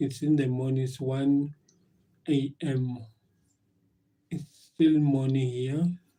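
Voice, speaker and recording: A man with a dark, mellow tone and medium pitch speaks very slowly, somewhat breathy, in a monotone, flat delivery. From South Africa. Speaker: live streamer. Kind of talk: casual live stream chat. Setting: live stream at work. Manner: halting, many fillers and repetitions.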